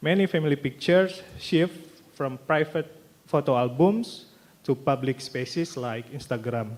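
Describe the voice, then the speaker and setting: Someone speaks at a moderate pace with an Indonesian accent. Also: man, fairly high pitch for a man, ordinary pitch variation. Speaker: graduate student presenter. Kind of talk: conference presentation. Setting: stage with audience. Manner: halting, reading from notes.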